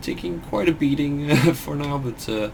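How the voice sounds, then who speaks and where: A man with a Dutch accent. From Netherlands. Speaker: gaming streamer. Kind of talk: live gameplay commentary. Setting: live stream.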